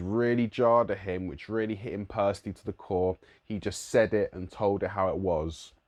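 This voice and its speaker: Against a quiet background, a man with a London accent talks at a moderate pace. His pitch is fairly low, with ordinary pitch variation. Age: 30s. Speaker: musician and youth worker. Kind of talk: vlog monologue.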